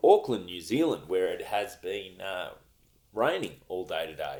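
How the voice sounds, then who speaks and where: The pace is fairly slow. This man talks in an Australian accent. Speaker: stand-up comedian and podcast host. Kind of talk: podcast intro.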